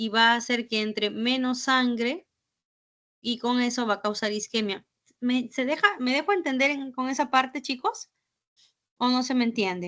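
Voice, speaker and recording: Against a quiet background, a woman speaks with a high pitch and a bright, sharp tone. Her pace is moderate and her pitch variation ordinary, with long, frequent pauses. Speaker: physician lecturer. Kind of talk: lecture.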